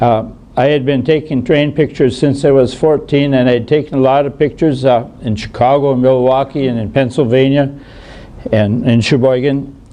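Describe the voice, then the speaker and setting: Someone speaks at a moderate pace with an American accent and fairly even intonation. Noticeable background noise runs underneath. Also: man, medium pitch for a man. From US Midwest (Wisconsin, Minnesota). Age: 80s+. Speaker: retired doctor and rail photographer. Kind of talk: illustrated talk to an audience. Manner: halting, many fillers.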